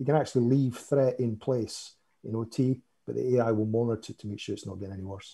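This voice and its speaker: A man's medium-pitched voice in a Scottish accent, dark and mellow in tone, somewhat breathy, very fast, with fairly even intonation and big swings in loudness. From Scotland. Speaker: cybersecurity vendor expert. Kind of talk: panel discussion.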